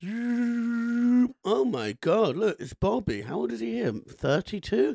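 A man's high-pitched voice with very wide pitch swings and a dry, close sound with no echo. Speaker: podcast host. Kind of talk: casual comedy chat.

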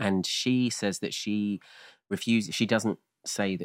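The speaker has a southern English accent and a fairly slow pace. The recording is very clean with a silent background, dry and close with no echo. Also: man. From rural Kent, England. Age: 30s. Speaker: comedian and podcast co-host. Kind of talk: casual chat.

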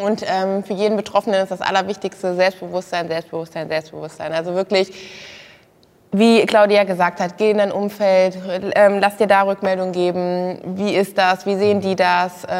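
Monotone, flat intonation runs through speech that keeps a moderate pace. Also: woman, medium pitch for a woman. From Germany, Kassel. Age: 20s. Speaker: former reality TV model contestant. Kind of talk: casual interview talk.

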